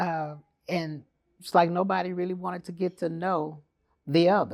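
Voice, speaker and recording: In an American accent, a woman speaks at a moderate pace with fairly even intonation and a fairly low pitch. Hers is an unremarkable speaking voice. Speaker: podcast host. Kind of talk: interview.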